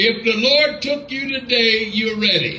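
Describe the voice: Bright and sharp in tone, a man's extremely high voice moves at a fairly slow pace with ordinary pitch variation, and audible room echo surrounds it.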